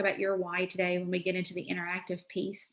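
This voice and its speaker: Medium pitch from a woman. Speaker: education consultant presenter. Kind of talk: webinar presentation. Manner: fast.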